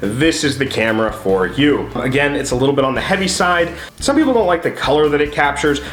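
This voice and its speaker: Through audible room echo and noticeable background noise, a man with a fairly high pitch talks at a very fast pace in an upbeat tone, with lively intonation and very even loudness. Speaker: photography YouTuber. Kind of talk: casual camera review. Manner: casual, upbeat.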